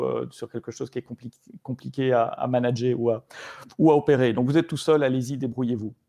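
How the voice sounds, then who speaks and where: The delivery is fairly quick, monotone and flat, with a dark, mellow tone. The sound is dry and close, with no echo. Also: man. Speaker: tech evangelist presenting a framework. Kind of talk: online meetup presentation. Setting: live stream. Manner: hesitant, many fillers.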